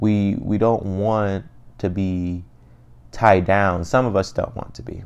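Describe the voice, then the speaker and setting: In a Midwestern American accent, a man with a fairly low voice speaks very slowly, his loudness swinging widely. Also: ordinary pitch variation. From Cleveland, Ohio, US. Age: 20s. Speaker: podcaster. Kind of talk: casual monologue.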